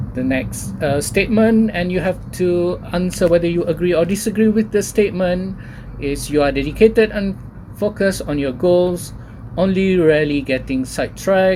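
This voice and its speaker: There is noticeable background noise behind a man with a high pitch. He talks at a moderate pace with lively intonation. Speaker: vlogger. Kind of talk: casual vlog, reading test questions aloud.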